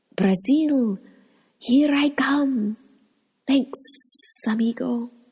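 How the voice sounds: A woman puts on a character voice at a high pitch, hissing as she goes. She speaks at a very slow pace.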